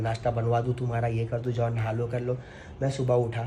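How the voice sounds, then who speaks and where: There is noticeable background noise behind a man. He speaks at a medium pitch and a moderate pace. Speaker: family vlogger. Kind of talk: emotional vlog monologue. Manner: emotional, earnest.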